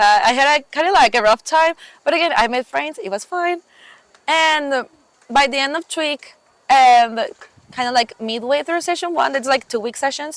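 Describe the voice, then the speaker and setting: At a moderate pace, a woman with a Mexican accent speaks in a high pitch with ordinary pitch variation. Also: dry, close sound with no echo. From Mexico. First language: Spanish. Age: 20s. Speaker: camp counselor. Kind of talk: casual interview chat. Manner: hesitant, many fillers.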